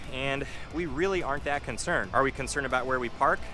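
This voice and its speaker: Over music in the background, a man with a medium-pitched voice talks at a very fast pace. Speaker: real estate agent, vlogger. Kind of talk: walking vlog monologue. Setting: outdoors walking downtown.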